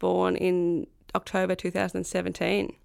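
In a very clean recording with a silent background, a woman with a rural Australian accent speaks at a fairly slow pace. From rural south-west New South Wales, Australia. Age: 30s. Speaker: professional footballer and farmer. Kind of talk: interview.

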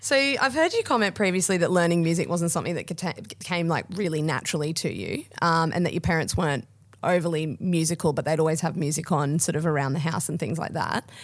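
Speaking at a very fast pace in an Australian accent, a woman with a fairly low pitch and ordinary pitch variation comes through on a very clean recording with a silent background. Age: 20s. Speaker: podcast host, footballer. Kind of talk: scripted narration; interview.

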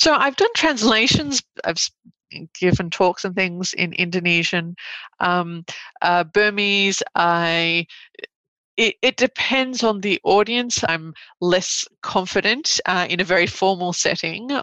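Long, frequent pauses mark a woman's very slow speech at medium pitch, with ordinary pitch variation and a dry, close sound with no echo. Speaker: law professor. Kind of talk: interview.

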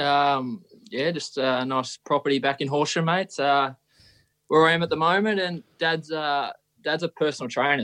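An Australian-accented man speaks at a moderate pace with ordinary pitch variation, the sound dry and close with no echo over a quiet background. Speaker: professional footballer. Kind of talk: casual chat. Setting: video call.

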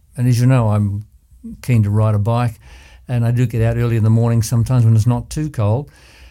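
In a very clean recording with a silent background, a man with an Australian accent speaks fairly quickly in a dark, mellow tone. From Australia, Ballarat, Victoria. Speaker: surgeon and former community board chair. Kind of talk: interview. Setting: studio.

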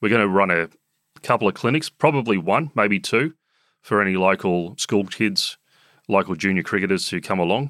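Talking at a fairly quick pace, a man with an Australian accent has a fairly low pitch and a bright, sharp tone. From Sydney eastern suburbs, Australia. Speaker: cricket club chief executive. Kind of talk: casual interview.

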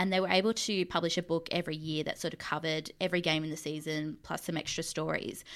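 With an Australian accent, a woman talks very fast in a fairly low voice and fairly even intonation, recorded very cleanly against a silent background. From Mildura, rural Victoria, Australia. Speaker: sports fandom researcher and editor. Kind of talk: casual chat.

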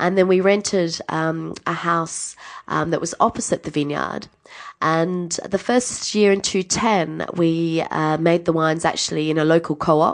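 A woman speaks with an Australian accent at a fairly slow pace. Her intonation stays fairly even. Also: fairly low pitch for a woman. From Adelaide, South Australia. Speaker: winemaker. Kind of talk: interview.

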